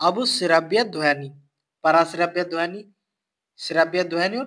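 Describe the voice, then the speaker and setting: A man with a high pitch and a bright, sharp tone speaks in a very clean recording over a silent background. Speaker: exam-prep science teacher. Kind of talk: lecture.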